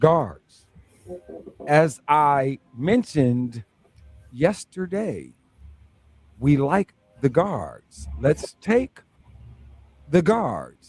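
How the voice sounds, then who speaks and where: A man talks at a very slow pace in a fairly high pitch, somewhat breathy, with lively intonation. The sound is dry and close, with no echo. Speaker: sports talk radio host. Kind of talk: sports talk radio banter.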